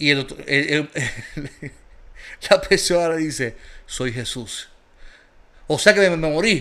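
With lively intonation, a man talks in an animated tone. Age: 40s. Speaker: pastor. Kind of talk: casual chat.

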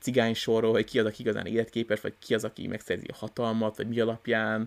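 The man's voice sits at a medium pitch and moves at a very fast pace. The recording is very clean, with a silent background. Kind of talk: casual chat. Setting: new recording location.

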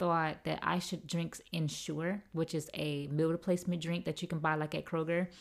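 Over a very clean recording with a silent background, a woman with a fairly low pitch speaks at a moderate pace in a monotone, flat way. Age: 20s. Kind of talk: casual solo podcast monologue.

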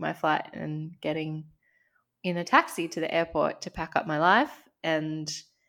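Speaking at a fairly slow pace, a woman with an Australian accent has a fairly low pitch on a very clean recording with a silent background. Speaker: podcast co-host, life coach. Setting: home recording. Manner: conversational, candid.

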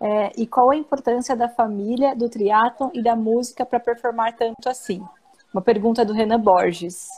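At a moderate pace, a woman talks with fairly even intonation. Her pitch is fairly high. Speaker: co-host. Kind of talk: casual interview. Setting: live stream video call.

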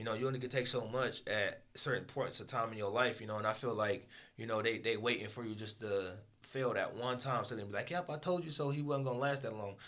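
Bright and sharp in tone, a man talks at a very fast pace and medium pitch with ordinary pitch variation and audible room echo. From Michigan. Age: 20s. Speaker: business owner. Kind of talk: interview. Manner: casual.

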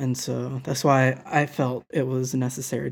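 A man's somewhat breathy voice in a monotone, flat intonation. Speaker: wine podcast co-host. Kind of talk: casual chat.

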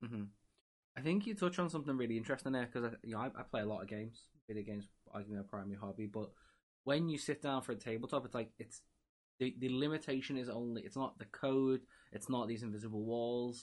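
In an English accent, a man speaks at a very fast pace, at medium pitch with ordinary pitch variation. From England. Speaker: podcast host. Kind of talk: casual interview chat.

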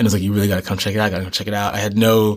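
He is a man with a fairly low pitch, speaking with an American accent. The recording is very clean, with a silent background. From New York City and Boston area. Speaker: expat filmmaker. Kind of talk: interview conversation.

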